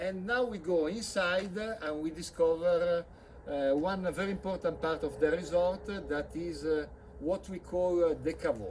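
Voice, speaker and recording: With ordinary pitch variation and a high voice for a man, he speaks at a moderate speed amid noticeable background noise. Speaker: winery owner and sales director. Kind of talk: guided tour. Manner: halting, many filler sounds.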